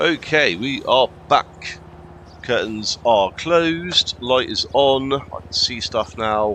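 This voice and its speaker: A man with a medium-pitched voice speaks very slowly with lively intonation and big swings in loudness over noticeable background noise. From England. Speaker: gaming streamer. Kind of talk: live gameplay commentary. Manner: casual with many fillers.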